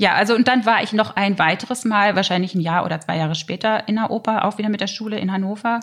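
A woman's medium-pitched voice at a very fast pace, with hardly any pauses and fairly even intonation. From Germany, Lower Saxony (Harz). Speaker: opera singer. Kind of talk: casual chat.

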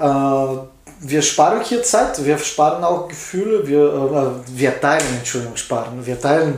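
A man speaks at a fairly slow pace with lively intonation. The audio has audible room echo and noticeable background noise. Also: fairly high pitch for a man. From Bulgaria. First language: Bulgarian (speaking German). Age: 40s. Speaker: tattoo artist. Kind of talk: casual interview. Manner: halting.

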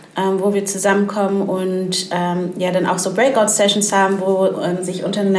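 A woman speaks at a medium pitch and a moderate pace, her intonation monotone and flat. Noticeable background noise and audible room echo fill the recording. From Hamburg. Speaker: network co-founder and entrepreneur. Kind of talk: podcast interview.

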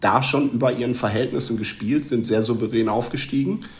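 A man is speaking. The clip has audible room echo and noticeable background noise. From Westphalia, Germany. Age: 30s. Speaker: football fan. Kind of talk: casual chat.

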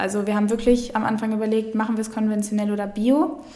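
Fairly quick, monotone speech from a woman with a fairly high pitch, flat intonation, noticeable background noise and audible room echo. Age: 20s. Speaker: food startup co-founder. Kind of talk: casual interview. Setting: studio, in person.

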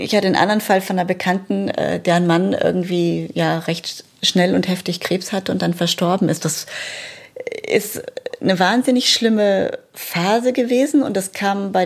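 A medium-pitched woman with vocal fry, ordinary pitch variation and a moderate pace. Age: 40s. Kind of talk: personal testimony.

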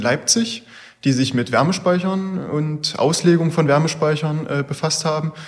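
A man uses a normal speaking voice, with typical pitch movement and a moderate tempo. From Saxony-Anhalt (Bernburg). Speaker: engineering student. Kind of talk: interview.

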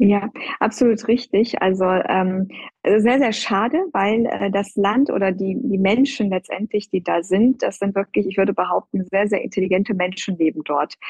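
With a plain, everyday voice, a woman talks at a moderate pace and medium pitch, with ordinary pitch variation. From Iran. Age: 30s. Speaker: plastic surgeon, hospital department head. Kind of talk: interview.

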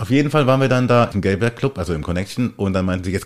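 The man's words come out very fast. His pitch rises and falls across a very wide range. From Germany. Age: 40s. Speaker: podcast guest. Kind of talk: casual chat.

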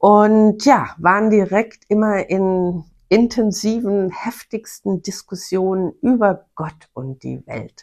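At a very slow pace with hardly any pauses, a woman speaks at medium pitch while her loudness swings widely. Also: ordinary pitch variation. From Bavaria (Bavarian Forest). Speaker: podcast host, self-employed former marketing manager. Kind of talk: personal storytelling monologue. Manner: animated.

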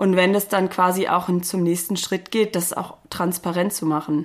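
A woman with a fairly low pitch speaks in monotone, flat intonation at a moderate pace on a very clean recording with a silent background. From northern Germany, near Bielefeld. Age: 30s. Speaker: occupational psychologist. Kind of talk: interview.

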